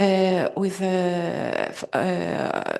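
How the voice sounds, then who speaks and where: A woman speaks at a medium pitch with a Greek accent. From Greece. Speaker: conference participant. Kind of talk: audience question at conference.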